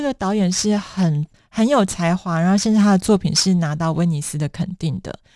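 A woman speaks at a moderate pace with a dark, mellow tone and medium pitch. The recording is very clean, with a silent background. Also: hardly any pauses, big swings in loudness. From Taiwan. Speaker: author. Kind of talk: interview.

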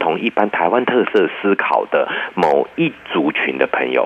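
Noticeable background noise runs behind a man speaking. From Taiwan. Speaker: psychology professor. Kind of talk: interview.

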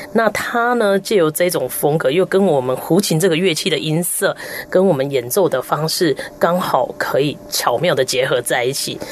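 Over noticeable background noise, a woman talks at a moderate pace. Her fairly low pitch makes very wide swings. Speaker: erhu player and music professor. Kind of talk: radio interview.

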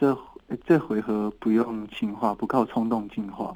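At a fairly slow pace, a man talks at medium pitch in a dark, mellow tone with ordinary pitch variation. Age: 30s. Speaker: singer-songwriter. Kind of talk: casual interview.

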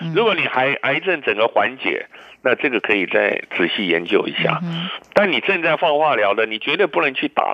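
This man has vocal fry and a moderate pace. Very wide swings mark his pitch. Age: 60s. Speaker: physician and immunology expert. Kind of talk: radio interview. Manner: many fillers and hesitations.

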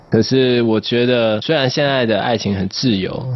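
A man at a moderate pace, ordinary pitch variation, noticeable background noise behind him. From southern Taiwan. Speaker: singer-songwriter. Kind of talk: radio interview.

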